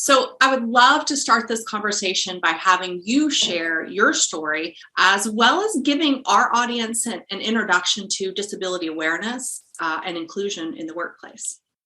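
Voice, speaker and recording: Her voice is unremarkable, a woman at medium pitch with lively intonation. She keeps a moderate pace with hardly any pauses. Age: young. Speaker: podcast co-host. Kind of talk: interview.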